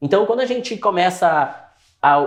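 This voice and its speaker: A man speaks with very wide pitch swings. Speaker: psychologist. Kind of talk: casual chat. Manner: fast.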